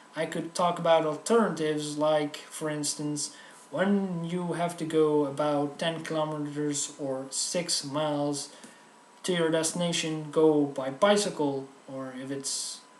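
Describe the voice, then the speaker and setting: Audible room echo and noticeable background noise surround a man whose voice has a fairly high pitch. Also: fairly even intonation, fairly slow pace. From Netherlands. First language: Dutch. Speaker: comedic video host. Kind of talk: comedic tutorial monologue.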